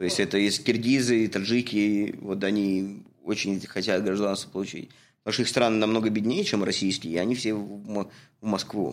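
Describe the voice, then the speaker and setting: A man talks in a plain, everyday voice, fairly low in pitch and fairly quick in pace. His intonation is fairly even, and the recording is very clean with a silent background. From Russia. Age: 30s. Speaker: podcast host, construction worker and photographer. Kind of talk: casual chat, podcast introduction. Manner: informal, friendly, chatty.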